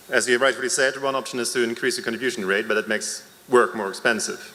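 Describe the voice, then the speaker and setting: Very fast male speech at a medium pitch comes through noticeable background noise. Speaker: member of the public at a town hall. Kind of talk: public comment at a town hall meeting. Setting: town hall meeting in a school. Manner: hesitant, with fillers.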